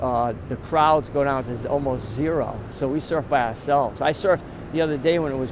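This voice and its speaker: A man's medium-pitched voice holds fairly even intonation, with noticeable background noise behind it. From Rhode Island. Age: 60s. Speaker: veteran surfer and surf instructor. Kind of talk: interview.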